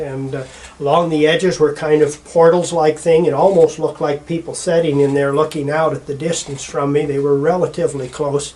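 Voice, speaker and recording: Over noticeable background noise, a man talks in a fairly high voice with monotone, flat intonation. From Montana, Bitterroot Valley. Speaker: eyewitness interviewee. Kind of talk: testimony. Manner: halting, with many fillers.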